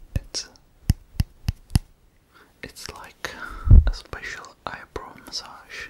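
Whispering comes at a very slow pace. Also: man. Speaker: roleplay host. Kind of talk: soft-spoken relaxation roleplay. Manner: soft, hushed ASMR close talk. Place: home room.

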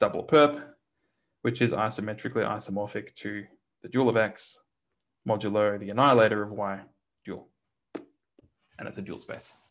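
Speaking with an Australian accent, a man uses a fairly low pitch with ordinary pitch variation and big swings in loudness. Long, frequent pauses break his speech against a quiet background. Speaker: mathematics lecturer. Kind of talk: lecture. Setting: online lecture, church bell audible in background. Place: home room.

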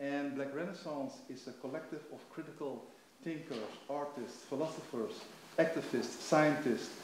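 Speaking with a Dutch accent, a man uses a fairly high pitch at a fairly slow pace, with big swings in loudness, audible room echo and light background noise. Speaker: event moderator. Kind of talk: panel moderation. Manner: halting. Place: stage.

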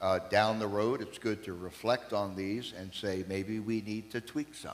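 At a moderate pace, a man talks in a fairly low voice with ordinary pitch variation. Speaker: preacher. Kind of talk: sermon. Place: church.

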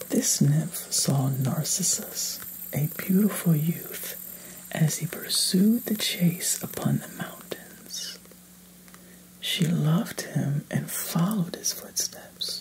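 A man is whispering at a very slow pace. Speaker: storyteller. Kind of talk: reading a myth aloud. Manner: soft-spoken, hushed bedtime reading.

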